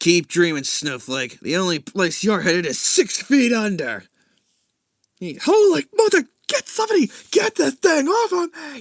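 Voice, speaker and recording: A man's put-on character voice, extremely high-pitched, with big swings in loudness at a moderate pace, in a dry, close sound with no echo. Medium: read story. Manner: taunting, gruff.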